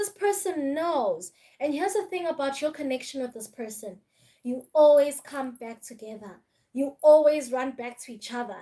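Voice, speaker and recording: Speaking at a moderate pace with a Zulu accent, a woman uses a high pitch, lively intonation and a dark, mellow tone. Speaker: tarot reader. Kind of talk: live-stream tarot reading. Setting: live stream.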